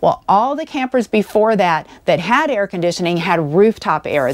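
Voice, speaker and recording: At a moderate pace, a woman of medium pitch speaks with very wide pitch swings. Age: 60s. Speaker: RV travel vlogger. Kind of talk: vlog monologue. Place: home room. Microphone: lapel.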